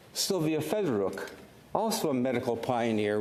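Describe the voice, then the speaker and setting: Over audible room echo, a man speaks at a moderate pace with lively intonation. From Canada, Ukrainian refugee family. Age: 70s. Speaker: senator. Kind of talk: parliamentary speech. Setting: senate chamber. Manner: formal.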